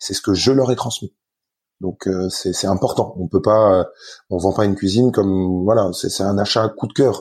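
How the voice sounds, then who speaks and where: A man's fairly low, somewhat breathy voice, dark and mellow in tone, against a quiet background. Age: 30s. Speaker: company founder. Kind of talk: interview. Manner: halting, many repetitions.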